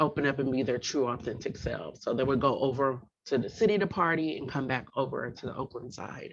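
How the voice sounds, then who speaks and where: Against a quiet background, a woman with a very deep, low pitch talks at a moderate pace. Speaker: program director and workshop presenter. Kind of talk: workshop presentation.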